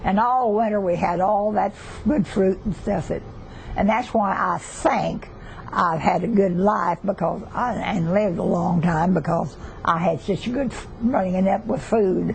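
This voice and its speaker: Speaking at a fairly slow pace with a Southern US accent, a woman keeps a medium pitch and ordinary pitch variation amid noticeable background noise. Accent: Southern US (Oklahoma). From southeastern Oklahoma. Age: 80s+. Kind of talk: interview answer.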